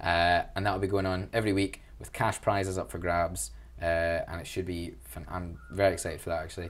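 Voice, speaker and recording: A man's very deep, low voice in a Glaswegian accent, fairly quick, with ordinary pitch variation. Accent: Glaswegian Scottish. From Scotland, Glasgow. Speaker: student union officer. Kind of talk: interview. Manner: animated.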